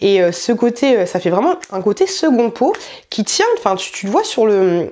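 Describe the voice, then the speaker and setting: Over noticeable background noise, a woman with a fairly high voice speaks in an animated tone, her pitch swinging very widely. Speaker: YouTuber doing clothing haul. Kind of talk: try-on haul video. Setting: home filming room.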